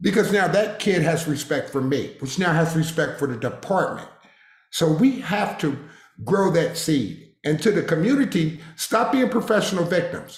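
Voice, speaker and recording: A man with a high pitch talks at a moderate pace with lively intonation, and audible room echo surrounds him. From Harrisburg, Pennsylvania. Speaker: retired police officer. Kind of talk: interview.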